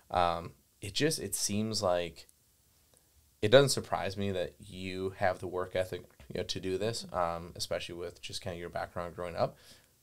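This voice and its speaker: A man with an American accent speaks at a moderate pace in a very deep, low pitch, with ordinary pitch variation. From Wisconsin. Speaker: gun dog trainer and kennel owner. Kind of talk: podcast conversation. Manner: filler-heavy, repetitive phrasing.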